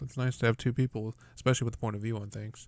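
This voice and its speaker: A man speaks at a very fast pace in a medium-pitched, monotone, flat voice with an American accent. The recording is very clean with a silent background. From Texas. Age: 20s. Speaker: podcast host. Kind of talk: casual chat. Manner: casual, swears freely.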